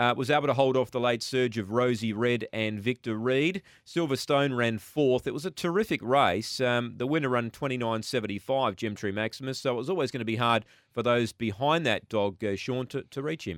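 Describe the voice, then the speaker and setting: A man talks fairly quickly. He speaks with an Australian accent. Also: medium pitch for a man, ordinary pitch variation. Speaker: radio host. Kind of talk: casual chat. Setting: studio.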